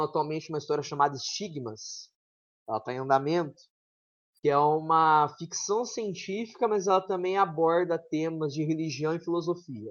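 A man with a normal speaking voice, fairly high-pitched, at a moderate pace with ordinary pitch variation. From São Paulo state near Minas Gerais border. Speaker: author and teacher. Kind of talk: interview.

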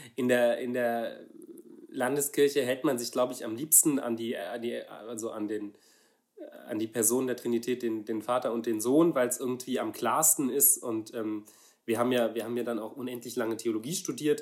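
This man speaks at a moderate pace and medium pitch, his intonation fairly even. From Saarland, Germany. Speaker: pastor. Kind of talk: casual chat. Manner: halting.

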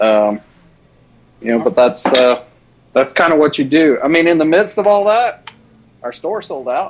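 Over noticeable background noise, a man with a fairly high pitch and very wide pitch swings speaks at a moderate pace, with long, frequent pauses. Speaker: custom soft plastic lure maker. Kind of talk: casual chat and live tutorial.

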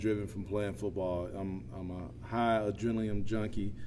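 With an American accent, a man speaks at a moderate pace and fairly low pitch, his intonation fairly even, with audible room echo. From US South, south Georgia (Quitman). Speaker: plant operations manager and volunteer football coach. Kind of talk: casual interview.

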